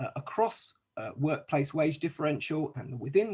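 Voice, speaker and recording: In a British accent, a man with a fairly high, somewhat breathy voice speaks at a fairly quick pace. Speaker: academic researcher presenting a paper. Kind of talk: conference presentation. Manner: hesitant, many fillers.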